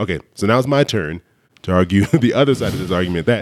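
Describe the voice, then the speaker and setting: Intonation rises and falls with liveliness as a man talks. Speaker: finance podcast host. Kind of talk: casual chat.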